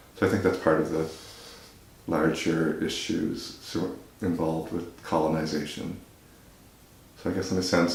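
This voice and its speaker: A man speaks in a very deep, low pitch at a moderate pace. His intonation is monotone and flat. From Nova Scotia, Canada. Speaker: visual artist. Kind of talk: interview answer.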